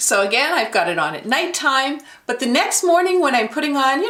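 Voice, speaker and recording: A woman speaks with very wide pitch swings. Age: 60s. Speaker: beauty vlogger. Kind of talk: product review tutorial. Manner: casual, conversational with fillers.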